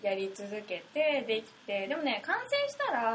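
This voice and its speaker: Over noticeable background noise, a woman talks at a fairly slow pace with a fairly high pitch. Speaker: fashion designer. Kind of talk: interview.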